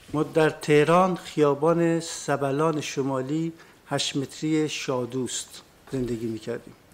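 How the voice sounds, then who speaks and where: Amid noticeable background noise, a man with a fairly high pitch speaks at a very slow pace with fairly even intonation. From northern Iran, Lahijan, then Tehran. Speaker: witness, former political prisoner. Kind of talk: court testimony. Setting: courtroom.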